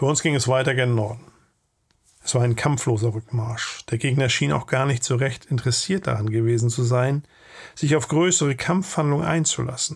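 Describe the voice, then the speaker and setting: A man talks at a moderate pace and medium pitch, with ordinary pitch variation. His voice is somewhat breathy. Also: very clean recording, silent background. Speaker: channel host and narrator. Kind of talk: audiobook reading of a war memoir.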